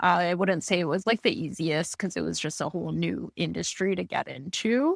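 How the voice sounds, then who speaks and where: On a very clean recording with a silent background, a woman talks at a fairly quick pace in dry, close sound with no echo. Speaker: stand-up comedian. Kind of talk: casual interview chat.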